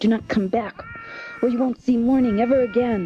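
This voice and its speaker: A female-sounding voice in a put-on character voice talks at a fairly quick pace with fairly high pitch. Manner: snarling through teeth; menacing.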